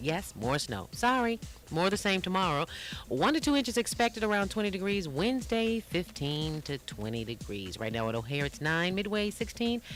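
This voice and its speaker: A woman's voice has vocal fry and an upbeat tone. Her pitch swings very widely. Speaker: radio DJ. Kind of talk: radio DJ link between songs. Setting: radio station broadcast. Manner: friendly, upbeat, chatty.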